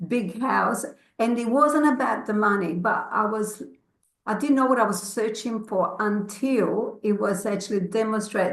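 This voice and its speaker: Audible room echo follows a woman speaking at a fairly slow pace in a fairly high pitch. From grew up abroad, moved to Australia as a child. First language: not English. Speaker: network marketing consultant. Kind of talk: personal testimony in an online session. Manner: halting, many fillers.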